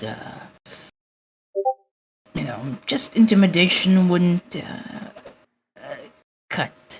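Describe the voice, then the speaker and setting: In a put-on character voice at a middle pitch, the speaker goes at a very slow pace with long, frequent pauses. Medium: actual play. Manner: sly, salesy.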